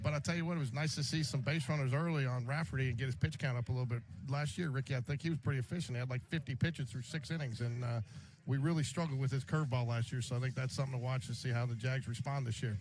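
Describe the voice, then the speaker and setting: A man speaks very fast in a somewhat breathy voice of medium pitch, with ordinary pitch variation. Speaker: sports radio broadcaster. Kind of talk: live sports radio play-by-play and interview questions.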